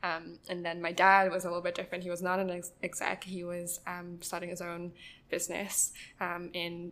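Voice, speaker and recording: On a very clean recording with a silent background, a woman speaks at a fairly low pitch in a monotone, flat intonation. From China, international school, Taiwanese family. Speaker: recent college graduate. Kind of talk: interview, casual chat. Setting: public library. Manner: hesitant, many fillers.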